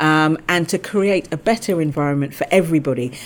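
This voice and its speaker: In a London accent, a woman speaks at a fairly low pitch with lively intonation. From England (London, Balham). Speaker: lawyer, general counsel. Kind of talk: interview.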